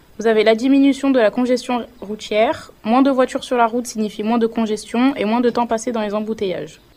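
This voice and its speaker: Amid noticeable background noise, a woman speaks at a fairly high pitch and fairly quick pace, with fairly even intonation and hardly any pauses. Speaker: vocational student, radio presenter. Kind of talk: scripted presentation.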